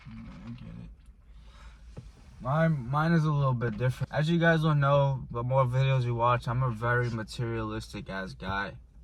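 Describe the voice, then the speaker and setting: A man at a moderate pace, with big swings in loudness and audible room echo. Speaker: vlogger. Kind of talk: casual chat. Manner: halting.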